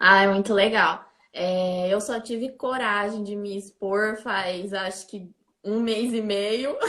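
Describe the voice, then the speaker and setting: Speaking at a very slow pace, a woman has a medium pitch, fairly even intonation and a bright, sharp tone. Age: 30s. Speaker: business graduate, low-vision content creator. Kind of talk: casual chat. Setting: Instagram live video.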